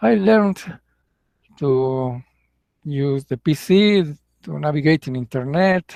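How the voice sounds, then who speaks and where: In a Mexican accent, a man speaks at a very slow pace with long, frequent pauses in a fairly high pitch, the sound dry and close with no echo. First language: Spanish. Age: 60s. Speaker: English teacher. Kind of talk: casual monologue. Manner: halting.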